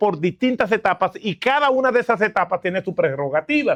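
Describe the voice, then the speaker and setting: A man speaks in a dry, close sound with no echo. The background is quiet. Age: 60s. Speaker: guest pastor. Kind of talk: sermon. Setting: church camp.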